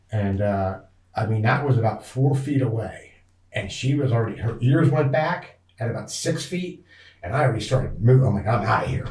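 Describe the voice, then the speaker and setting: With an American accent, a man talks at a fairly quick pace and medium pitch, somewhat breathy, with ordinary pitch variation. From northeast Pennsylvania. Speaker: outdoorsman, hunter and angler. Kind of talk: interview storytelling. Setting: podcast recording.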